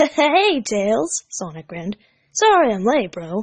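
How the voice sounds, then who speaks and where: A woman puts on a character voice, moving fairly slowly with very wide pitch swings. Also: fairly high pitch for a woman. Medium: read story.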